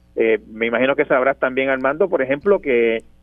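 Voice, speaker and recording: At a fairly quick pace, a man speaks in a normal speaking voice. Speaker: journalist and columnist. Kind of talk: radio interview.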